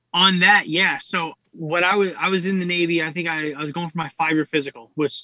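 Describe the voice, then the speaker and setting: A man speaks in a fairly high pitch. His intonation stays fairly even. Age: 30s. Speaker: fitness enthusiast and Navy veteran. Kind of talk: casual interview. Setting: video call.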